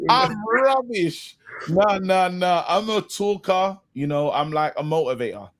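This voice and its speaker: A man with a London accent, high-pitched and with lively intonation. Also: fairly slow pace. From London, Brixton. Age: young. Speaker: comedian and actor. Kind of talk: casual chat. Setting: podcast interview.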